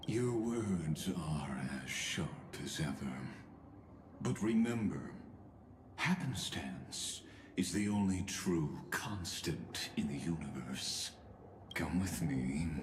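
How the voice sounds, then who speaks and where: Doing a put-on character voice, a man speaks very slowly in a very deep, low pitch with long, frequent pauses, against clear background noise. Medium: video game. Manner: calm, courteous, cryptic.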